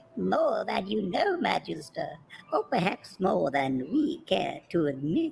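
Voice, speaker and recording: A female-sounding put-on character voice comes at a medium pitch for a woman and a fairly slow pace. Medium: game stream. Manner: deferential, uneasy.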